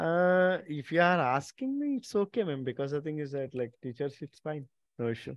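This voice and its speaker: Speaking at a moderate pace with ordinary pitch variation, a man's fairly high voice sounds dry with no echo against a quiet background. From India. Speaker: company representative hosting meeting with college coordinators. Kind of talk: online meeting presentation. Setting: video call. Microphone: video call.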